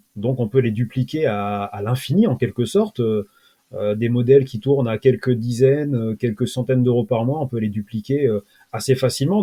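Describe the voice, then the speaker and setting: Heard in a dry, close sound with no echo, a man with a dark, mellow, somewhat breathy tone speaks at a medium pitch and moderate pace with ordinary pitch variation. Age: 40s. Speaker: SEO freelancer and automation trainer. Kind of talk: interview.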